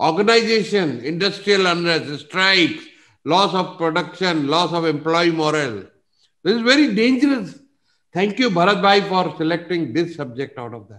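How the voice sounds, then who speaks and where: Against a quiet background, a man talks with lively intonation in a high pitch. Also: moderate pace, big swings in loudness. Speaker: business coach presenter. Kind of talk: lecture. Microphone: video call.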